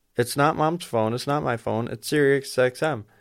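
It is a normal speaking voice in a very clean recording with a silent background. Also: man. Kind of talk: casual chat. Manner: crude, joking.

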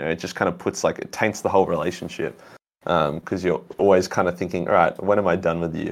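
In an Australian accent, a man with a very deep, low pitch speaks at a fairly quick pace with ordinary pitch variation. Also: very clean recording, silent background. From Australia, Melbourne. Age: young. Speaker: YouTube content creator. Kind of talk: casual chat.

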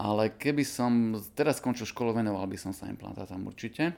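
Moderate-paced speech from a man, captured in a very clean recording against a silent background. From eastern Slovakia, Košice. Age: 40s. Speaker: dentist. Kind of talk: interview.

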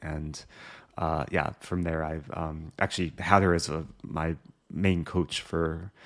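A man with a very deep, low pitch and a Midwestern American accent, at a moderate pace in a monotone, flat intonation, on a very clean recording with a silent background. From US Midwest, Skokie, Illinois. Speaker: chess streamer. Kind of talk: casual interview. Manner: hesitant, many fillers.

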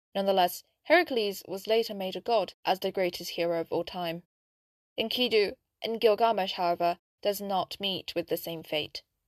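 A woman with an unremarkable speaking voice, medium pitch and ordinary pitch variation, at a moderate pace, in a very clean recording with a silent background and a dry, close sound with no echo. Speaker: podcast narrator. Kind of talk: history documentary narration, scripted storytelling. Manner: measured, solemn, even-paced.

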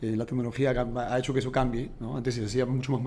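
A man with a Peruvian accent talks at a fairly quick pace in a medium pitch. Music sounds in the background and the room echo is audible. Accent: Peruvian Spanish (Lima). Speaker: entrepreneur. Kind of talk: interview.

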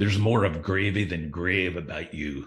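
A man puts on a character voice that is raspy and very deep, with a very low pitch. He talks at a moderate pace. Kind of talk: archaic, old-fashioned.

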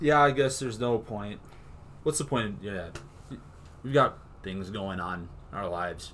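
Moderate pace broken by long, frequent pauses, with big swings in loudness. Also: man, fairly low pitch for a man. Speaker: podcast host. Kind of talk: casual chat. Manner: monotone at times; jokey, wants to be funny.

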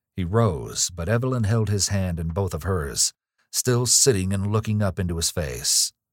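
Reading in a natural voice, ordinary pitch variation, quiet background

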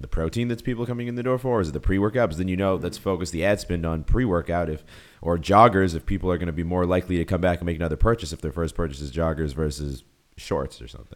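A man speaks at a very fast pace with a very deep, low pitch. His intonation is lively. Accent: Boston. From US Northeast (Boston). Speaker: YouTuber and entrepreneur. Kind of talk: casual interview chat.

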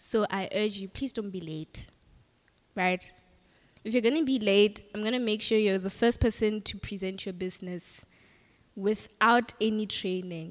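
Pausing often and at length, a woman with a medium pitch speaks at a moderate pace. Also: ordinary pitch variation. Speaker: program facilitator. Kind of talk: presentation. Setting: stage with audience.

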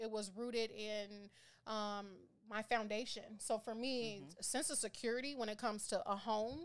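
With an American accent, a woman with an ordinary speaking voice talks at a moderate pace, her fairly high pitch showing ordinary pitch variation. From Minneapolis, Minnesota, US Midwest. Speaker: financial educator. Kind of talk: casual interview.

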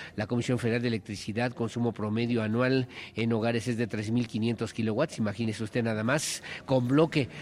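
Speaking with fairly even intonation, a man uses a medium pitch in an unremarkable speaking voice. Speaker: radio news anchor. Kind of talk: news reading. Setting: live broadcast on location.

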